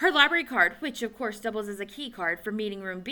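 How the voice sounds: A natural reading voice, its intonation lively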